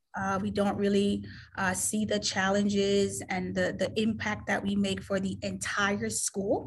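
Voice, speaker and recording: A woman talks fairly slowly, and the room echo is audible. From Caribbean. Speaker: admissions director. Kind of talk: interview. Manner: halting.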